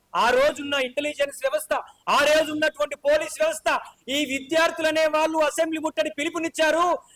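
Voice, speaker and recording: Extremely high-pitched yet flat and monotone, a man speaks in a bright, sharp, passionate tone with a dry, close sound and no echo. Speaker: student movement leader. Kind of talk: political speech at press meet. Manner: fiery, passionate.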